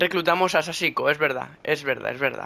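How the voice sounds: A man speaks with a fairly high pitch and vocal fry. His tone is bright and sharp.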